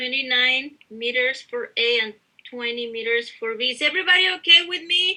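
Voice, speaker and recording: This woman's high-pitched, bright, sharp voice is raised and projected. Her intonation is lively and her pace moderate. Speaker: university instructor. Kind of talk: lecture.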